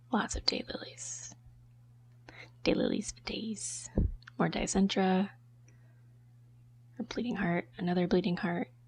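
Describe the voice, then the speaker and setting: Noticeable background noise runs behind a woman speaking at a fairly slow pace with long, frequent pauses. Her loudness swings widely. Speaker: amateur gardener. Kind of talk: garden tour narration. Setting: outdoors.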